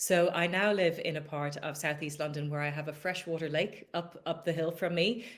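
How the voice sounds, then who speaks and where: A woman with an Irish accent, fairly low pitch and fairly even intonation, at a moderate pace with hardly any pauses. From Ireland, Dublin. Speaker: business executive. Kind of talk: podcast interview.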